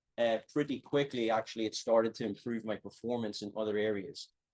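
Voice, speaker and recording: This man speaks with an Irish accent. His pace is moderate. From Ireland. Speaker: strength and conditioning professor. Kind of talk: lecture. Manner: hesitant, many fillers.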